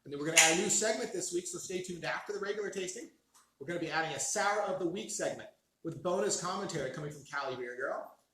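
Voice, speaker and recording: Raising and projecting his voice, a man talks at a very fast pace in a high pitch, with audible room echo. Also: ordinary pitch variation. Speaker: beer review show host. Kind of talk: casual chat.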